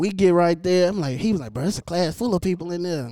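Fast, lively speech from a man with a high pitch and a dark, mellow tone

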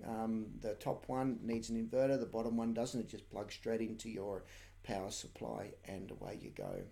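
With an Australian accent, a man speaks in a dark, mellow tone. His intonation is monotone and flat, and room echo is audible. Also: medium pitch for a man, moderate pace. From Australia, New South Wales. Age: 40s. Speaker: shearer. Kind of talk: live-stream tutorial. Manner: casual, hesitant with many fillers.

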